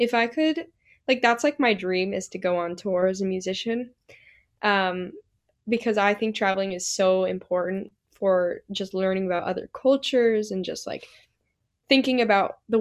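A woman with a plain, everyday voice and an American accent speaks at medium pitch with ordinary pitch variation, on a very clean recording with a silent background. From Utah, Salt Lake City. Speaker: singer-songwriter. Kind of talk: casual chat.

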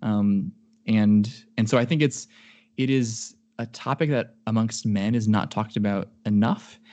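A man with an American accent and a dark, mellow tone, at a fairly slow pace against a quiet background. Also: medium pitch for a man. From US Midwest. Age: 20s. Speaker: computer engineer. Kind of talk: casual chat. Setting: video call.

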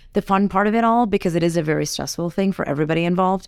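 A woman with a plain, everyday voice, fairly low in pitch, fairly even in intonation, on a very clean recording with a silent background. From Fiji, raised in California. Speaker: interior designer and TV co-star. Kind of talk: casual interview. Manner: warm, laughs often.

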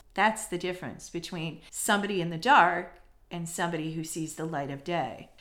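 A woman speaks in an animated tone. Audible room echo surrounds her voice. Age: 40s. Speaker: career coach and podcast host. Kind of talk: motivational solo podcast.

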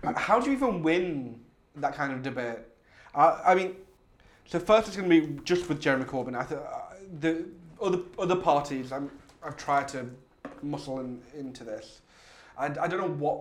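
Over noticeable background noise, a man with a fairly high voice and lively intonation speaks at a moderate pace, with big swings in loudness and long, frequent pauses. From Hull, England. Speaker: podcast host. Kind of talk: casual chat. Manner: animated, joking.

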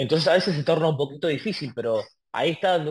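At a very fast pace, a man with a fairly high pitch speaks in a somewhat breathy voice with lively intonation. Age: 20s. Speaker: tango artist. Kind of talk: interview conversation. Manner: halting.

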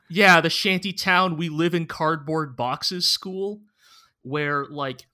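A man with a normal speaking voice, fairly high in pitch, at a fairly slow pace and with fairly even intonation, on a very clean recording over a silent background. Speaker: podcast co-host. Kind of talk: casual chat.

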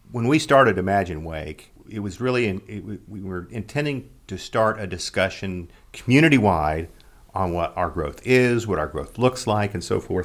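A man with an American accent and an unremarkable speaking voice talks at a moderate pace with a fairly low pitch, lively intonation and big swings in loudness. The recording is very clean, with a silent background. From Oklahoma. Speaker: podcast host, trade association executive. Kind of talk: interview.

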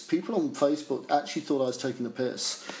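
Against noticeable background noise, a man with a southern English accent speaks at a fairly high pitch. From Essex, England. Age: 50s. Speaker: music journalist. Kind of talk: interview.

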